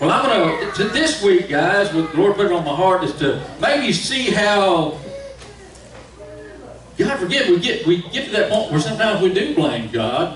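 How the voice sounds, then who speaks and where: A man speaks at a moderate pace. Audible room echo and noticeable background noise surround his voice. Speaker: preacher. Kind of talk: sermon. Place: church. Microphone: camera far.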